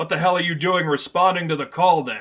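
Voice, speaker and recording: A man uses a put-on character voice, high-pitched and raspy. He goes at a fairly quick pace. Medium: read story. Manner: gruff.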